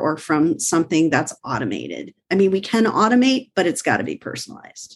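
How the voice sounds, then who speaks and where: Over a quiet background, a woman speaks in a normal speaking voice. Her pitch is medium, her pace fairly quick and her intonation lively. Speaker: online sales coach. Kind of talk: panel discussion.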